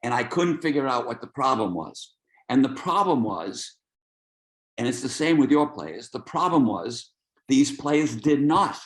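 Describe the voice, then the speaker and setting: A man with an American accent speaks at medium pitch with vocal fry and lively intonation. His pace is fairly slow, with long, frequent pauses. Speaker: soccer coach. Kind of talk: webinar lecture. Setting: video call.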